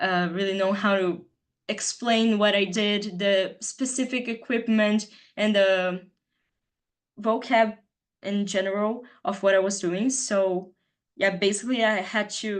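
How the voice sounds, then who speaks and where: The voice has a Brazilian Portuguese accent and fairly even intonation over a quiet background. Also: woman. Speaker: student presenter. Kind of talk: presentation.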